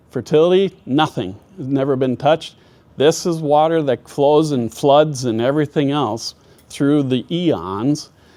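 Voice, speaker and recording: In an Upper Midwest accent, a man with a fairly high pitch and a dark, mellow tone speaks at a moderate pace with ordinary pitch variation. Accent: Upper Midwest American. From US Midwest (northwest Minnesota). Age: 60s. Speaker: farmer and agronomist. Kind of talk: presentation.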